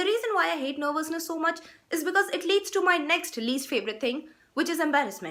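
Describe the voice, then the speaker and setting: Raising and projecting her voice, a woman talks at a fairly quick pace in an extremely high pitch, with a bright, sharp tone and lively intonation. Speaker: vlogger. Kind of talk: casual vlog monologue.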